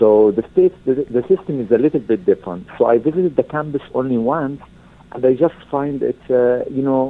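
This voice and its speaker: In an Arabic accent, a man speaks at a fairly quick pace with ordinary pitch variation. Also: medium pitch for a man. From Egypt. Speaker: university alumnus. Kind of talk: interview. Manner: halting, many fillers.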